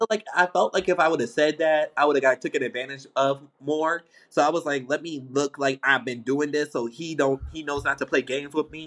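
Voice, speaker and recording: A man's ordinary speaking voice, fairly high in pitch, at a fairly quick pace with hardly any pauses, fairly even intonation and a dry, close sound with no echo. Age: 20s. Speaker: podcast host. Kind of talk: casual chat.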